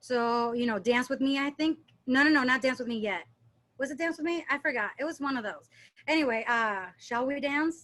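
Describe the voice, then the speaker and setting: A woman speaks in a high pitch with a bright, sharp tone and ordinary pitch variation. The recording is very clean, with a silent background. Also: moderate pace. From Puerto Rico and Dominican Republic, born in Philadelphia. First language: Spanish. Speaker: dance instructor. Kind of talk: casual chat. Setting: podcast interview.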